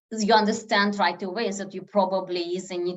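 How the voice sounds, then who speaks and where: Using ordinary pitch variation, a woman talks with a non-native accent. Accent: foreign accent, noticeable. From former Soviet Union. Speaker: statistician, lecturer. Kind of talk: lecture Q&A on a video meeting.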